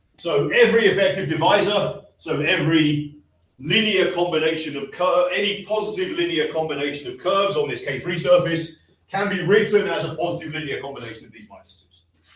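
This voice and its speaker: Audible room echo surrounds a man's voice. He speaks at a high pitch with lively intonation. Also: big swings in loudness. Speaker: mathematician. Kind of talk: lecture. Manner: slow.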